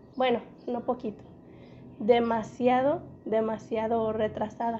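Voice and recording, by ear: The voice has a dark, mellow tone with little pitch movement. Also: woman, fairly high pitch for a woman, fairly slow pace.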